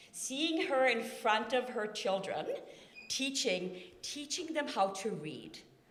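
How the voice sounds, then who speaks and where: Lively intonation carries a woman's Norwegian accent. Room echo can be heard. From Norway. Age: 40s. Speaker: family member giving a eulogy. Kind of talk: eulogy. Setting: memorial service in a church. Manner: talkative, unscripted.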